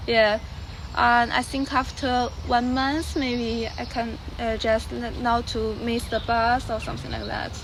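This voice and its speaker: In a Chinese accent, a woman speaks fairly slowly at a fairly high pitch. Her intonation is monotone and flat, and room echo is audible. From China. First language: Mandarin Chinese. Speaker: exchange student. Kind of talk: interview. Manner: halting.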